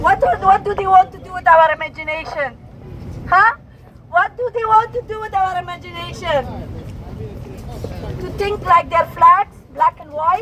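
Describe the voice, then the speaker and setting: A woman's raised, projected voice at an extremely high pitch, moderate pace with long, frequent pauses, ordinary pitch variation and big swings in loudness, with crowd noise in the background. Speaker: protest speaker. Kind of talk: protest speech. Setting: outdoor rally with loudspeaker. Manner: impassioned, rousing.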